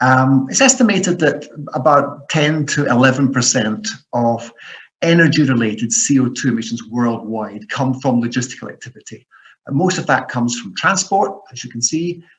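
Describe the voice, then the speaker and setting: In a Scottish accent, a man with a fairly high pitch speaks with lively intonation and a somewhat breathy voice. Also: moderate pace. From Scotland. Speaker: professor. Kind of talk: lecture. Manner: hesitant with many fillers.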